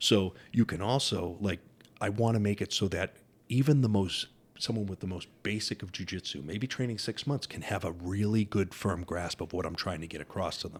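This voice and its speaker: Recorded very cleanly against a silent background, a man uses a plain, everyday voice at a fairly low pitch, with ordinary pitch variation and a moderate pace. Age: 50s. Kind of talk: casual interview chat.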